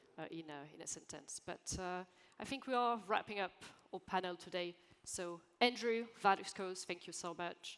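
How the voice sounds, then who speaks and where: A woman with a French accent speaks at a medium pitch and a moderate pace. Her pitch varies in an ordinary way while her loudness swings widely. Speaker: panel moderator. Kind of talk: panel discussion. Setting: conference stage with audience.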